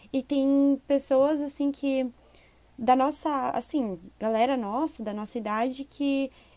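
A woman with a high-pitched voice speaks in a dark, mellow tone, her pitch rising and falling in an ordinary way. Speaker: podcast co-host. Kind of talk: casual chat.

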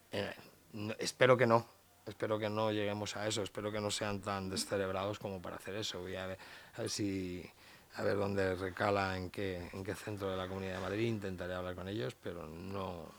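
The pace here is fairly quick. Intonation stays monotone and flat. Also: man, fairly low pitch for a man. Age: 50s. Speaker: dog behavior expert and trainer. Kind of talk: casual interview.

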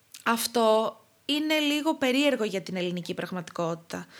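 A fairly slow pace from a woman, captured on a very clean recording against a silent background. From Crete, Greece. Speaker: clinical dietitian. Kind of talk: casual interview.

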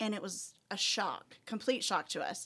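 Speaking with a Texan accent, a woman uses a medium pitch and ordinary pitch variation. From West Texas. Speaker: school administrator. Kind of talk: casual chat.

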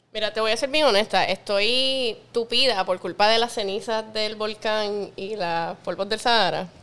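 On a very clean recording with a silent background, a woman speaks at a fairly slow pace with fairly even intonation and hardly any pauses. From Puerto Rico, west (Lajas, Cabo Rojo). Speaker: bartender, mixologist. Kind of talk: casual chat.

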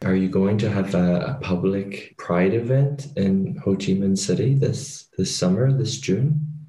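A man speaks at a fairly slow pace in a fairly low voice, his tone dark and mellow and somewhat breathy, with very even loudness, ordinary pitch variation and hardly any pauses. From Ireland. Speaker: podcast host. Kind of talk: casual interview.

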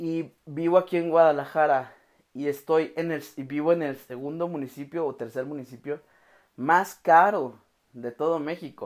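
A man with a Mexican accent, a fairly high pitch, and fairly even intonation, at a fairly slow pace with long, frequent pauses and big swings in loudness, in a very clean recording with a silent background. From Mexico, Oaxaca. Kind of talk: devotional podcast monologue. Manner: casual, with frequent fillers.

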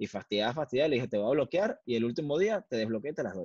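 A man with a Venezuelan accent at a very fast pace, with very wide pitch swings, in a dry, close sound with no echo. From Venezuela (Valencia). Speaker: photographer. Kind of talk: casual interview.

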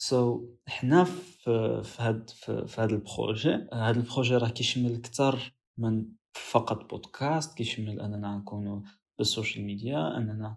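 With hardly any pauses, a man talks at a fairly slow pace in a somewhat breathy medium-pitched voice with ordinary pitch variation. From Morocco. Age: young. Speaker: podcast co-host, university student. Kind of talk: casual podcast introduction.

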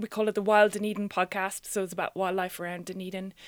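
A woman with an Irish accent talks over a very clean recording with a silent background. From Ireland. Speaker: science communicator and radio producer. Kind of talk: interview conversation.

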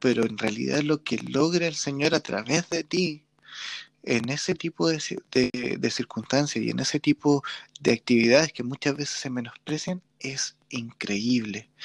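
A man at medium pitch with ordinary pitch variation and a fairly slow pace, in a dry, close sound with no echo. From Chile. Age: 30s. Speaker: podcast host and church musician. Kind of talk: casual interview.

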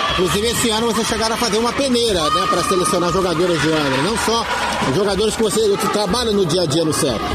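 A man talks at a very fast pace and very even loudness, his pitch high with ordinary variation. Audible room echo and noticeable background noise are present. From Angra dos Reis, Rio de Janeiro state, Brazil. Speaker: local radio sports host. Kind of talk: radio sports show with interviews.

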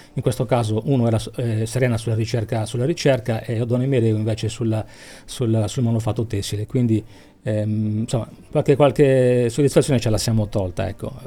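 This man's voice has a dark, mellow tone, somewhat breathy, at medium pitch. He talks at a fairly quick pace with fairly even intonation. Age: 50s. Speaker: cultural association president. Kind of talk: radio interview.

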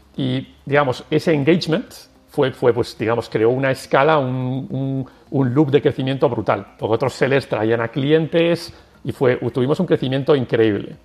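Music plays behind a man speaking at a medium pitch with ordinary pitch variation. His pace is fairly slow. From Basque Country, San Sebastián. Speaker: tech company executive. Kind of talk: interview. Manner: halting.

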